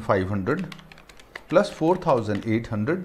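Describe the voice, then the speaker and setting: Here a man speaks with very wide pitch swings. His voice is somewhat breathy. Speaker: accounting teacher. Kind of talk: lecture. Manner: slow.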